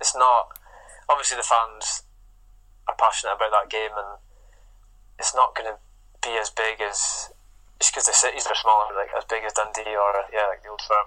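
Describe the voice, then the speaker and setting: With a bright, sharp tone and a fairly low pitch, a man speaks at a moderate pace in a monotone, flat intonation, pausing long and often. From Scotland, Inverness. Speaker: professional footballer. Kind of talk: interview.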